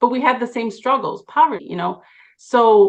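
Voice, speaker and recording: An ordinary speaking voice from a woman, fairly high in pitch with ordinary pitch variation, at a moderate pace. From Chicago, Puerto Rican family. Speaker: lawyer, bar association president. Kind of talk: interview.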